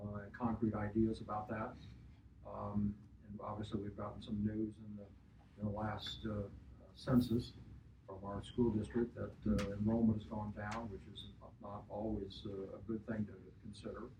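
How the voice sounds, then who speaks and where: A man with an American accent speaks at a moderate pace in a dark, mellow, fairly low voice with vocal fry. His delivery is a flat monotone with big swings in loudness and long, frequent pauses. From Missouri, St. Joseph. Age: 70s. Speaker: local businessman. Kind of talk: focus group discussion.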